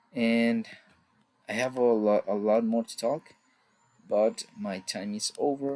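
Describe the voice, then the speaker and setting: A man speaks with a Mexican accent at a medium pitch. His intonation is fairly even. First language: Spanish. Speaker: student. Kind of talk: class presentation. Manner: halting.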